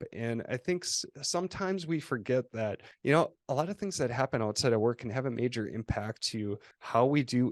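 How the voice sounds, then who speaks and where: A man with a Minnesota accent at medium pitch, fairly quick and lively in intonation, dry and close with no echo, over a quiet background. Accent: quasi-Canadian, Minnesota. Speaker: agency co-founder and CEO. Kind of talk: interview. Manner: halting with false starts.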